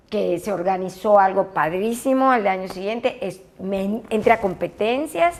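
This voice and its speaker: The delivery moves at a fairly slow pace. Its intonation is lively. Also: woman. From Yucatán, Mexico. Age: 60s. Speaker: former aerobics champion and fitness instructor. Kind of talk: interview. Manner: animated.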